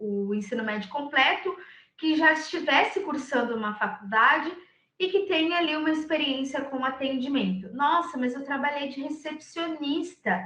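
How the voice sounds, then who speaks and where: A woman's raised, projected voice carries high pitch, lively intonation and a bright, sharp tone amid audible room echo. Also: moderate pace. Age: 20s. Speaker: recruiter. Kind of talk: lecture.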